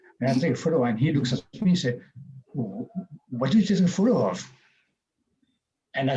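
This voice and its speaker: This is a man speaking. His intonation is lively. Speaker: webinar speaker. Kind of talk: webinar talk. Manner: halting.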